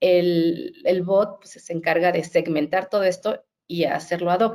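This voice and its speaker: A woman speaks at medium pitch and a fairly slow pace in a dark, mellow tone. Her intonation is monotone and flat, though her loudness swings widely. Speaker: HR director. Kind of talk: webinar interview.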